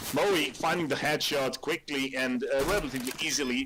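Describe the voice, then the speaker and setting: Over noticeable background noise, a man with a non-native accent talks at a moderate pace, his fairly high voice moving with lively intonation. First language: not English. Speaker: esports commentator. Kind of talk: live commentary. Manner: hesitant, many fillers and repeats.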